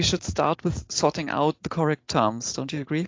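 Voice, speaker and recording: A woman speaks with a German accent at a moderate pace. Her pitch is very deep and low. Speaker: podcast host. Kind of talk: interview. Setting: video call.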